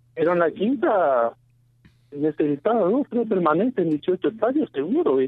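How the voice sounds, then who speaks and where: Over music in the background, a man with a high pitch talks at a moderate pace, his pitch swinging very widely. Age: 40s. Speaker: citrus farmer. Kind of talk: radio interview.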